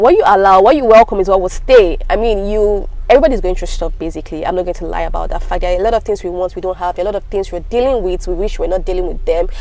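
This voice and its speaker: Amid noticeable background noise, a woman talks at a very fast pace with hardly any pauses. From Africa. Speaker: lifestyle vlogger. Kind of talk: casual advice talk. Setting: home video recording.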